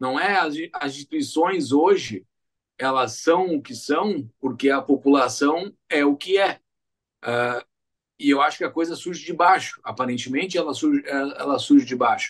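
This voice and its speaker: A man at fairly high pitch, with ordinary pitch variation and a moderate pace, against a quiet background. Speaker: podcast host. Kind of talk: casual podcast discussion. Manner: hesitant, many fillers. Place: home room.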